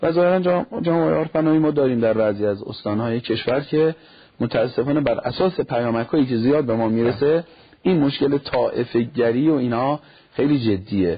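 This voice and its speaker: At a fairly quick pace, a man speaks with lively intonation, medium pitch and a somewhat breathy voice. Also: very even loudness. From Iran, Nishapur (Khorasan Razavi). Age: 40s. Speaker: cleric and family counselor. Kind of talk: TV talk show interview.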